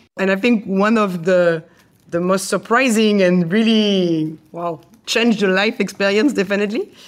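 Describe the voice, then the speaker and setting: A woman's medium-pitched voice with fairly even intonation, in a very clean recording with a silent background. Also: moderate pace. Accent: French. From France. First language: French. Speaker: chef. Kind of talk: interview.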